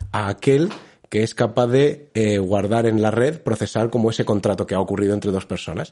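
A man's dark, mellow tone at a medium pitch with ordinary pitch variation. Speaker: podcast co-host. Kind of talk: casual chat.

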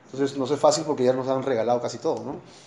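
Noticeable background noise and audible room echo accompany a voice with ordinary pitch variation. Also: man. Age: 50s. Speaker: Bible study teacher. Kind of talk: lecture.

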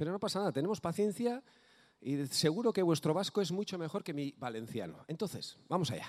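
In a very clean recording with a silent background, a man speaks fairly quickly in a high, animated voice with very wide pitch swings. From Basque Country (Bizkaia). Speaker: folk musician and singer. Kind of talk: stage banter at a concert. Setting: stage with audience.

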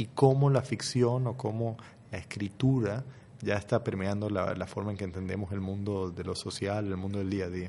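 In a dark, mellow tone, a man talks at a moderate pace with a fairly low pitch and fairly even intonation. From Costa Rica. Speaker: novelist. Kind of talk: radio interview.

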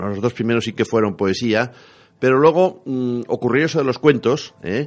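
A man talks at a medium pitch with ordinary pitch variation. His is an unremarkable speaking voice. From Spain, La Rioja. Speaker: writer and retired teacher. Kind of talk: radio interview.

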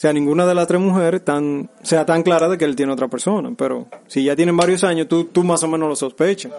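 A man talks at a very fast pace in a high pitch, with hardly any pauses. Noticeable background noise runs underneath. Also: ordinary pitch variation, very even loudness. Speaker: podcast co-host. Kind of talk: casual chat. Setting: studio.

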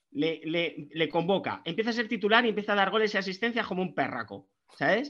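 A man's bright, sharp tone over a quiet background. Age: 40s. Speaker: football podcast guest, wine enthusiast. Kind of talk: casual chat.

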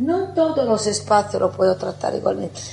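Amid noticeable background noise and audible room echo, a woman speaks with an Italian accent. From Italy. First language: Italian (speaking Spanish). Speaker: architect. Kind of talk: conference talk.

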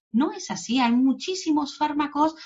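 The speaker goes at a fairly slow pace in a somewhat breathy voice. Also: woman. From Mexico. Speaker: psychologist. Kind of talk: interview. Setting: video call. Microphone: poor connection.

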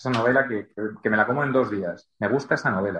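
The voice belongs to a man. Its pitch shifts in an ordinary way. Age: 40s. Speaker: novelist. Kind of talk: interview. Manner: halting.

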